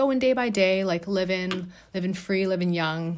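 The delivery is moderate in pace and comes in an unremarkable speaking voice. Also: woman. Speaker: art therapist and podcast host. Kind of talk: solo podcast monologue, personal storytelling. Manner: conversational, filler words, warm.

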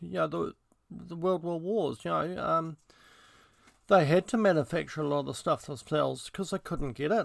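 Over a very clean recording with a silent background and a dry, close sound with no echo, a man with a New Zealand accent speaks at a moderate pace, leaving long, frequent pauses. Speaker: podcaster. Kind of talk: casual monologue. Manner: halting, many fillers.

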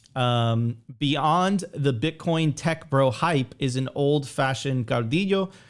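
A very slow, fairly high-pitched man's voice with an American accent, very even loudness and ordinary pitch variation. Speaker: bitcoin podcast host. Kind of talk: live-streamed podcast commentary. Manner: animated.

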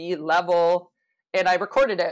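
A woman with a Canadian accent speaks in a normal speaking voice, fairly low in pitch, with ordinary pitch variation. The recording is very clean, with a silent background. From Canada (Toronto). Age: 40s. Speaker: hockey coach. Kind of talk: casual interview.

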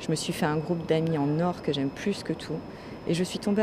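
Against noticeable background noise, a woman with a very deep, low pitch speaks at a fairly quick pace in a monotone, flat intonation. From France. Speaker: podcaster. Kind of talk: personal monologue. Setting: airport café.

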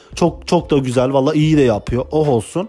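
A fairly high-pitched man's voice with ordinary pitch variation amid noticeable background noise. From Turkey (Kurdish). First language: Kurdish (speaking Turkish). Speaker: podcaster, former imam. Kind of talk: casual monologue. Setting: home recording. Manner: fast, words run together.

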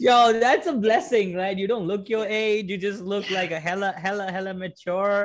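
Hardly pausing at all, a man with a high pitch speaks at a moderate pace. His intonation stays fairly even. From India. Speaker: podcast host and comedian. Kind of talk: casual chat.

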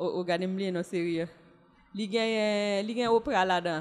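A woman speaks very slowly. Her pitch sits in the medium range with ordinary variation. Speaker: former journalist and diplomat, single mother. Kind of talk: casual chat.

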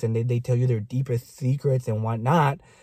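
On a very clean recording with a silent background, a man's dark, mellow, somewhat breathy voice moves at a moderate pace in a dry, close sound with no echo. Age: 30s. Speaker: podcast co-host. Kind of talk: casual chat.

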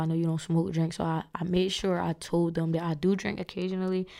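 The voice is raspy with a dark, mellow tone and monotone, flat intonation. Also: woman. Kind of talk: casual chat. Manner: loud, says what she wants.

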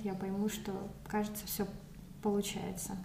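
Somewhat breathy, a woman speaks at medium pitch. Her intonation is monotone and flat, with audible room echo. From Moscow, Russia. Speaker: recent immigrant. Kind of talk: casual interview. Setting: in person at her home.

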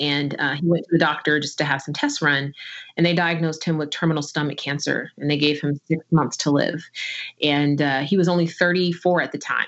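The speaker has an American accent and a fairly quick pace. The intonation stays monotone and flat. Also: woman, very deep, low pitch for a woman. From New Jersey. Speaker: tech executive and author. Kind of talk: interview conversation.

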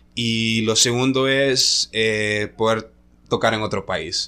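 A man speaks in a bright, sharp tone. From Honduras, La Ceiba (north coast). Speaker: DJ. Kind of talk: casual chat. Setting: hotel room.

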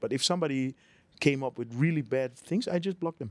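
A man with a Dutch accent talks at a very fast pace in a fairly high pitch with ordinary pitch variation. The recording is very clean, with a silent background and a dry, close sound with no echo. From Netherlands. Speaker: real estate business owner and YouTuber. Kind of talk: casual interview conversation. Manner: halting.

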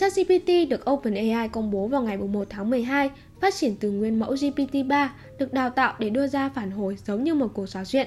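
Through noticeable background noise, a woman with a high pitch speaks with lively intonation. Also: moderate pace. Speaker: tech news podcast host. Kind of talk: news reading. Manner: formal.

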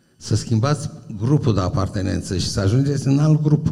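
A man at a fairly high pitch with ordinary pitch variation and a moderate pace, in audible room echo. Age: 70s. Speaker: university professor. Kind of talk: public talk. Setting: stage with audience.

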